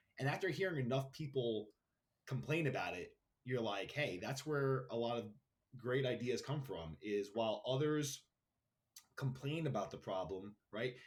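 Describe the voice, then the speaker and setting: A somewhat breathy, medium-pitched man at a moderate pace, his intonation lively. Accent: New York. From Queens, New York City. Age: 30s. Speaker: brand founder, entrepreneur. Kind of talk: podcast interview.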